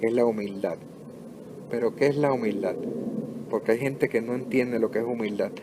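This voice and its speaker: A man's intonation stays fairly even while noticeable background noise plays behind him. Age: 60s. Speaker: pastor. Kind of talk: sermon. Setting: home recording.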